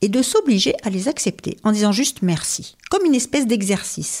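In a very clean recording with a silent background, a woman speaks fairly slowly in a somewhat breathy voice, her pitch swinging very widely. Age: 50s. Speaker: HR consultant and professional coach. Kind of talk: interview conversation. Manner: hesitant fillers.

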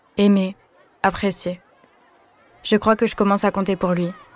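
Over crowd noise in the background, a woman with a medium pitch talks at a fairly quick pace in a monotone, flat intonation. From western France. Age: 20s. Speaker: student sharing personal story. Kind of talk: testimony.

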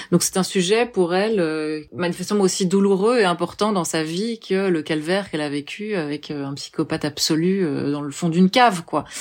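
With a normal speaking voice, a woman talks at a fairly low pitch and a moderate pace, with ordinary pitch variation and hardly any pauses. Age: 30s. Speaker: journalist and filmmaker. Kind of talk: interview.

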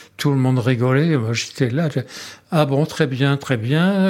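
A man talks at a very slow pace, his pitch fairly high. His pitch varies in an ordinary way. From southwest France (Dax, Landes). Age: 80s+. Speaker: bar owner, witness. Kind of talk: personal testimony.

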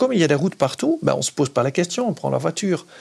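Speaking with a Dutch accent, a man's voice makes very wide pitch swings. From Netherlands. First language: Dutch (speaking French). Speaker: cycling advocacy spokesperson. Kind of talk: interview.

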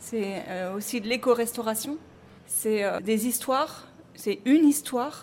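Fairly slow speech from a woman, fairly high in pitch, with ordinary pitch variation. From Paris, France. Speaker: restaurant co-manager. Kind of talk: interview testimony.

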